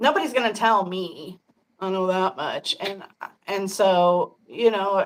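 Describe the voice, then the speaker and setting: In an American accent, a woman with a normal speaking voice talks at a fairly slow pace, her medium pitch showing ordinary variation. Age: 50s. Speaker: podcast host. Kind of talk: casual chat.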